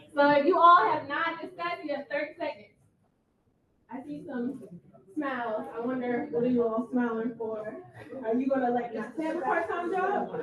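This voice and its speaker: A woman speaks loudly at a high pitch with lively intonation. She leaves long, frequent pauses. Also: moderate pace. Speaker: ethics attorney presenter. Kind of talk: interactive training presentation. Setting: room with live audience. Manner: animated.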